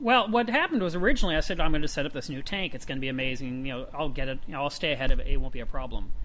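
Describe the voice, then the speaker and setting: A man's fairly high-pitched voice at a very fast pace, with hardly any pauses, very wide pitch swings and big swings in loudness, over noticeable background noise. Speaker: podcast host. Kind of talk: casual banter podcast chat. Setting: recording a podcast together. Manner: joking, playful.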